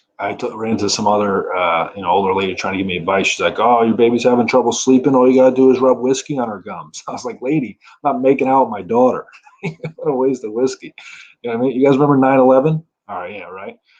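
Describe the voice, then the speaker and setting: Talking at a very fast pace with an ordinary amount of pitch variation, a man with a New Jersey accent shows big swings in loudness. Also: medium pitch for a man. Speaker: stand-up comedian. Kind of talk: stand-up.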